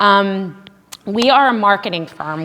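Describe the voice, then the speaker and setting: A woman speaks with ordinary pitch variation. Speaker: social media marketer giving a parent seminar. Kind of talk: seminar presentation. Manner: fast.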